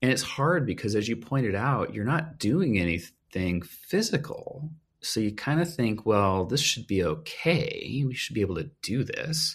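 A man at medium pitch, vocal fry in his voice, very wide pitch swings, a fairly slow pace, and hardly any pauses. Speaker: physical therapy professor and researcher. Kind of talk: expert interview.

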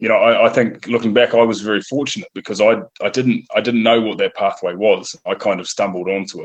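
A man speaks with a New Zealand accent at a very fast pace. He hardly pauses at all. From New Zealand (Northland, near Whangarei). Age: 30s. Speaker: professional rugby player and café owner. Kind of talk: interview. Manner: halting, with repeated words and fillers.

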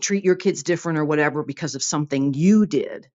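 With lively intonation, a woman speaks in a normal speaking voice. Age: 50s. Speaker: voicemail caller. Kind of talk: voicemail message. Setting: recorded voicemail.

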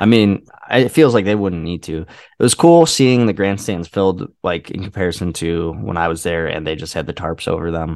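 Against a quiet background, a man with an American accent and a very deep, low pitch talks at a moderate pace with ordinary pitch variation and hardly any pauses. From Indiana/Illinois border area, US Midwest. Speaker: podcast co-host. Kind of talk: casual chat.

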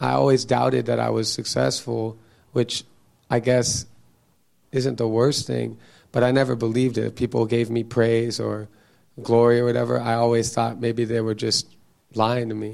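A man with medium pitch talks at a moderate pace in a monotone, flat intonation. He leaves long, frequent pauses. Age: 30s. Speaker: audience member. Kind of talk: casual conversation. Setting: church.

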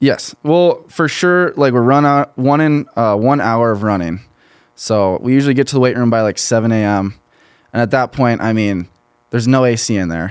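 A man's normal speaking voice with an American accent, at medium pitch and moderate pace with ordinary pitch variation, on a very clean recording with a silent background. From southern Minnesota, US. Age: 20s. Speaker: college football player and entrepreneur. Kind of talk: casual interview. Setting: studio.

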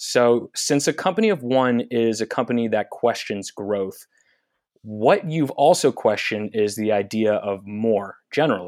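In a dry, close sound with no echo, a man with an unremarkable speaking voice talks at a fairly slow pace. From Northern California, Marin area. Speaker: podcast host. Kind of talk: interview.

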